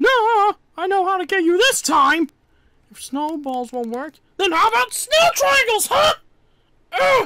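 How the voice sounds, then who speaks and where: A cartoonish character voice pitched extremely high, with very wide swings in pitch. It moves at a fairly slow pace. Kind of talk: comic overacting. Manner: frantic, shouty, whiny.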